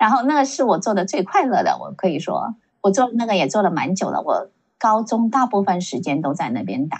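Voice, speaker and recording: Somewhat breathy, a woman's voice moves at a moderate pace with lively intonation. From San Francisco Bay Area, US (born in Shanghai). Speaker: tech professional. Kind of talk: casual interview.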